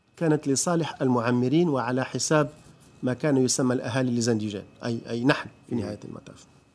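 The man talks at a fairly quick pace. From Morocco. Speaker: writer and former state official; interview guest. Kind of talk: political interview. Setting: studio. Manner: formal. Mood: calm, analytical. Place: studio. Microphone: lapel.

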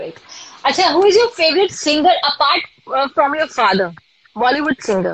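A woman with an Indian accent, fairly quick in pace and high in pitch, with very wide pitch swings, long, frequent pauses, and a dry sound with no echo. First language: Hindi. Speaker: live stream host. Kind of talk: casual live interview. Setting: live video call. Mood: cheerful, friendly. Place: home room. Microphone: phone near.

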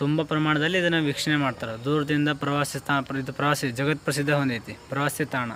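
Noticeable background noise sits behind a man with a fairly high pitch. His intonation stays monotone and flat. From North Karnataka (Haveri area). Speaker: religious studies student at a monastery. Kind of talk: interview.

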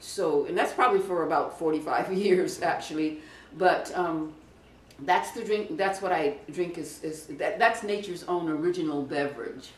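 Audible room echo surrounds a woman speaking at a moderate pace and a fairly low pitch. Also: ordinary pitch variation. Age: 70s. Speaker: raw vegan health advocate. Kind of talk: interview answer. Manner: emphatic, chatty.

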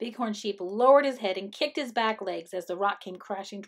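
This is an unforced reading voice. The delivery stays an unforced reading voice throughout.

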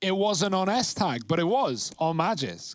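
A man is speaking. He has a London accent. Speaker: esports commentator. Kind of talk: live commentary. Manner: fast.

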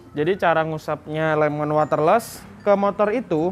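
There is faint music in the background as a man speaks with ordinary pitch variation. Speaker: product demonstrator. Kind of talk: tutorial. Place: street. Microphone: lapel.

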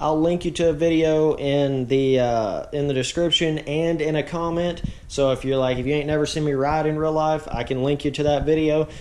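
Barely pausing, a man talks at a moderate pace with fairly even intonation. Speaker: motocross video creator. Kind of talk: casual vlog chat. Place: home room. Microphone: phone near.

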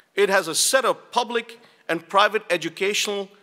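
Against a quiet background, a man speaks in a raised, projected voice with a bright, sharp tone. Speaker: university dean. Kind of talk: conference opening speech. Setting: stage with audience. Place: hall. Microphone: podium.

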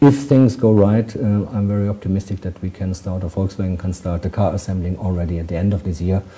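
This man speaks very fast with a German accent and hardly any pauses, his fairly low voice somewhat breathy and dark and mellow in tone. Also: ordinary pitch variation. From Germany. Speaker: ambassador; interviewee. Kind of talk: interview. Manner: hesitant, many fillers. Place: office.

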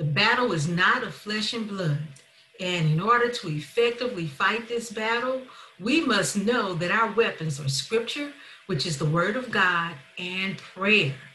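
Light background noise and audible room echo frame a woman speaking at a fairly slow pace. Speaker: minister giving a talk. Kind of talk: sermon. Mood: warm, earnest. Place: home room. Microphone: webcam.

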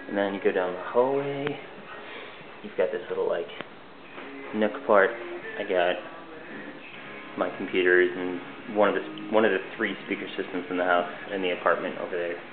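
Over noticeable background noise, a man talks at a moderate pace with a fairly low pitch, ordinary pitch variation, and long, frequent pauses. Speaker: entry-level web designer. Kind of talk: casual video tour narration. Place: home room. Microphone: phone near.

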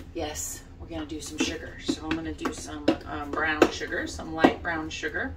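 Loud noise runs behind the voice. The speaker is a woman. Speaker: home cook vlogger. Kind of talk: cooking tutorial chat. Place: kitchen. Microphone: camera far.

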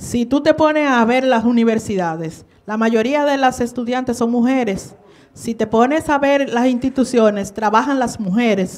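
A woman with a normal speaking voice, fairly high pitch, ordinary pitch variation, and a fairly slow pace. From Dominican Republic. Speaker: political candidate; candidate. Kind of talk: political debate. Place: studio. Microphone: handheld.

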